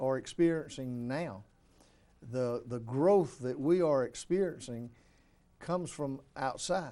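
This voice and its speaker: Very slowly, a man with an Alabama accent talks in a fairly high pitch with ordinary variation and a dark, mellow tone. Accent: US Southern (Alabama). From Alabama, Elmore County. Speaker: city mayor. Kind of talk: interview. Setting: studio.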